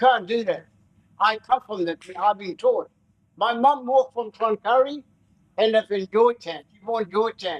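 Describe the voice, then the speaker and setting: With long, frequent pauses, a man speaks at a moderate pace and a high pitch, his pitch varying in an ordinary way and his loudness swinging widely, in a dry, close recording with no echo. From Far North Queensland, Australia. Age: 70s. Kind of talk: welcome to country speech. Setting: forum with live audience.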